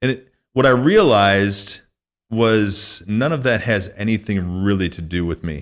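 With an American accent, a man talks at a moderate pace in a fairly low pitch, using ordinary pitch variation over a quiet background. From US Midwest, northwest Illinois. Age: 40s. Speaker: podcast host. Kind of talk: casual interview. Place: studio. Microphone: studio mic.

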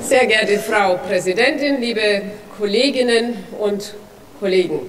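A woman's voice with ordinary pitch variation over light background noise. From Franconia, Germany. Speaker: politician, federal drug commissioner. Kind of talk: parliamentary speech. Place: hall. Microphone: podium.

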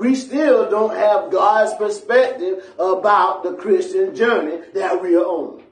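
An animated, fairly slow delivery in an American accent, with lively intonation and audible room echo. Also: man. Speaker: pastor. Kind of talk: sermon. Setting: church. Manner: animated, call-and-response preaching, asking the congregation to answer; emphatic and repetitive, pressing points home. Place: church.

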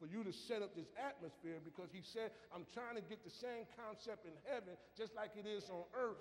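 Lively intonation and an animated tone come through over light background noise. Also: man. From US South. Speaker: preacher. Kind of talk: sermon. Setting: church. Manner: animated, call-and-response preaching with emphatic delivery. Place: church.

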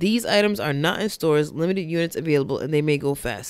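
A woman talks at a very fast pace. The sound is dry with no echo, against a quiet background. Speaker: podcast co-host. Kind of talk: casual chat. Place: studio. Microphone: studio mic.

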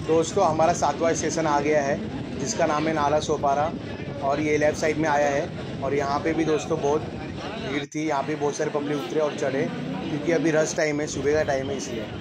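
Loud background noise fills the clip. A man speaks through it at a moderate pace. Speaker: train vlogger. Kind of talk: casual vlog commentary. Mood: cheerful, pleased. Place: train. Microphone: phone near.

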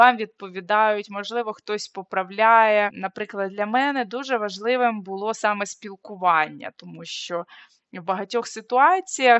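In an unremarkable speaking voice, a woman talks at a fairly slow pace and a fairly high pitch, with ordinary pitch variation and big swings in loudness. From Ukraine. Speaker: social anthropologist and video blogger. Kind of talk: vlog talk to camera.

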